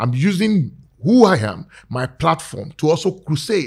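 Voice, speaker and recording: Here a man is talking with lively intonation. His voice is somewhat breathy. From Nigeria. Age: 50s. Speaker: politician. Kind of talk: casual interview.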